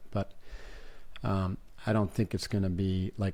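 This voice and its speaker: In an American accent, a man speaks at a moderate pace in a normal speaking voice with a fairly low pitch. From upstate New York. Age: 60s. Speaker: podcast host. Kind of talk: interview conversation.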